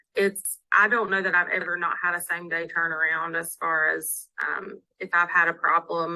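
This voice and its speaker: A woman talks at a moderate pace with a Southern US accent. Her fairly low voice stays flat and monotone. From US South. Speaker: town clerk. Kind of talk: webinar interview.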